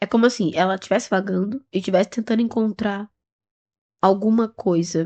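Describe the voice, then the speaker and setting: Soft-spoken, a woman talks at a moderate pace and medium pitch with a dark, mellow tone and fairly even intonation. Her loudness stays very even, and the sound is dry and close with no echo. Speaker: tarot reader. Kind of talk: intuitive tarot reading. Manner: speaking softly; casual, chatty.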